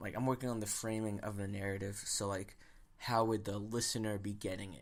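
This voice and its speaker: A man speaking at a fairly quick pace in a flat monotone. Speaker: podcast host. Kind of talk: casual solo monologue. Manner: halting, many fillers.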